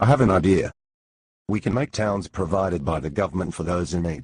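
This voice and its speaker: A man's growling put-on character voice, very deep and low, at a fairly quick pace over a quiet background. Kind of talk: student comic sketch. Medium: comedy sketch.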